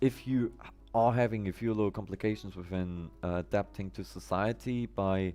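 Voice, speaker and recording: A man's fairly low-pitched voice with a non-native accent, moderate pace and ordinary pitch variation. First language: not English. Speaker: live streamer, gamer. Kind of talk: casual live stream chat. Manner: halting.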